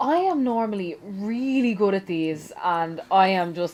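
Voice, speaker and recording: Speaking with a Dublin accent at a fairly slow pace, the woman has an animated tone and lively intonation. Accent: Dublin Irish. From Ireland, Dublin. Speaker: gaming YouTuber. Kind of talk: casual chat during let's play.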